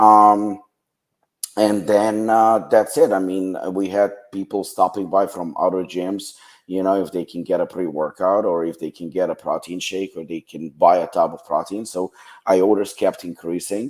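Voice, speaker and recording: A man's fairly low voice with a Ukrainian accent, fairly even intonation, big swings in loudness and a moderate pace. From western Ukraine. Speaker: supplement brand founder. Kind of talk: podcast interview.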